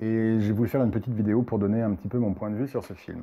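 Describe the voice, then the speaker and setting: This man talks at a fairly quick pace. His voice sits fairly low. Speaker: spiritual medium and film commentator. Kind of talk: casual video review monologue. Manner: hesitant, many fillers.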